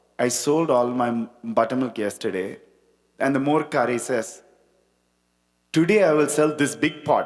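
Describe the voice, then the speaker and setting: A man with a Tamil accent speaks at a moderate pace. His medium pitch has ordinary variation. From India, Chennai. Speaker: spiritual talk speaker. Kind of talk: devotional talk with storytelling.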